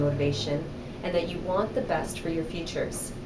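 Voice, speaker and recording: Amid noticeable background noise and audible room echo, a woman with a Canadian accent talks at a fairly quick pace with lively intonation. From Canada, Toronto. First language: Spanish. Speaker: aerospace engineering executive. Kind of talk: recorded motivational speech. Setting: video recording.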